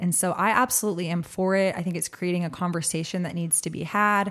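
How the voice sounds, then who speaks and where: The speech moves at a fairly quick pace. It carries an American accent. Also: woman. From Austin, Texas. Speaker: cannabis business owner. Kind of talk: interview.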